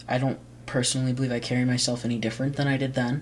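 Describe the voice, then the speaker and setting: Audible room echo surrounds the voice. A man talks at a very fast pace and a medium pitch. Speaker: vlogger. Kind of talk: casual vlog monologue. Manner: halting, many fillers.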